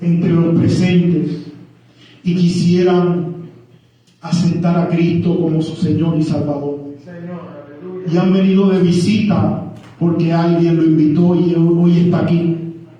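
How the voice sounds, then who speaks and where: This man speaks at a very slow pace in a high, monotone, flat voice with very even loudness and long, frequent pauses, over noticeable background noise and audible room echo. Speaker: guest preacher. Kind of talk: sermon.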